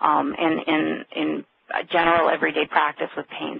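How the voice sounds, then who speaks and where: A woman is speaking here. Noticeable background noise runs under her voice. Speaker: addiction and pain researcher. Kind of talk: webinar lecture. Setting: conference call. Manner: fast.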